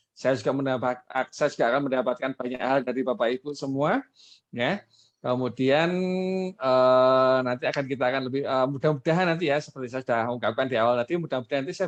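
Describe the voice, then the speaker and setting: A man with a strong Javanese accent at a medium pitch, very fast pace and fairly even intonation, dry and close with no echo, against a quiet background. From East Java, Indonesia. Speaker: webinar speaker on marketing. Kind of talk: webinar presentation. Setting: online webinar.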